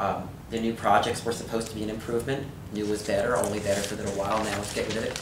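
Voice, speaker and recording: The speaker has an American accent and a very fast pace. Background noise is noticeable. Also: man. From New Brunswick, New Jersey. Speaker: historic property restorer. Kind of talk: oral history interview answer.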